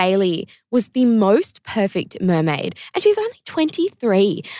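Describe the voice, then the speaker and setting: The woman's pitch swings very widely. The sound is dry and close, with no echo. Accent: Australian. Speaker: podcast co-host. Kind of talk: casual chat. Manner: animated.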